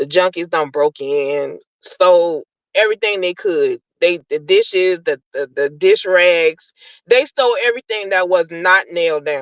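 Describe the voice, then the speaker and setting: A woman with an ordinary speaking voice talks at a fairly slow pace, medium in pitch with lively intonation. The sound is dry and close, with no echo. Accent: American. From New York, Brooklyn. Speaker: caller. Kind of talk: personal testimony.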